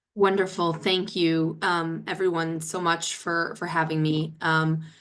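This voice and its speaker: In a room with audible echo, a woman with a fairly low pitch speaks fairly slowly in a flat, monotone way. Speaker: policy expert. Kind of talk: webinar presentation.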